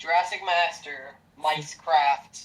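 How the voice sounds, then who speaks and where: The pitch variation is ordinary. Noticeable background noise can be heard. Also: man. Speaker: YouTuber and streamer. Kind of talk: casual chat. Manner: loud. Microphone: voice usually too quiet on recordings.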